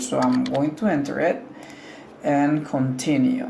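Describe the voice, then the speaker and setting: Someone speaks very slowly in a Spanish accent. Noticeable background noise is present. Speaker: tech tutorial creator. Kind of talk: tutorial. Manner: casual, hesitant with fillers.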